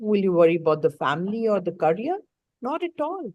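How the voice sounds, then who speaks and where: A woman talks at a fairly quick pace with medium pitch and lively intonation. Her tone is dark and mellow. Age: 60s. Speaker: life coach. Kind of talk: live online coaching session.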